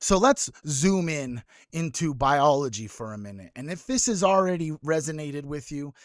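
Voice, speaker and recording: Over a very clean recording with a silent background, a man with a plain, everyday voice speaks at a moderate pace, fairly high in pitch with ordinary pitch variation. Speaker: livestream host. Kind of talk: livestream motivational talk. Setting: live stream.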